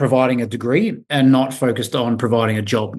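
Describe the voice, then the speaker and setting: Speaking with an Australian accent, a man holds a medium pitch at a moderate pace. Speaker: recruitment company CEO. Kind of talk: podcast interview. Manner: halting, many repeated words.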